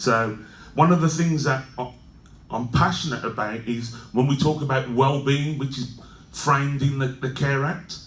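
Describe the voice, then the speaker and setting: A man with a Birmingham accent and fairly even intonation, over audible room echo. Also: medium pitch for a man, moderate pace. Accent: Birmingham (Brummie). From England, Birmingham. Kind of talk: conference talk. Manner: halting, many fillers and restarts.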